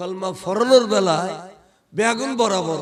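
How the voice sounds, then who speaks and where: This man's voice is high-pitched for a man, and his pitch varies in an ordinary way. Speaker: Islamic preacher. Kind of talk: humorous Islamic sermon. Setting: PA system at live gathering. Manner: lively, animated.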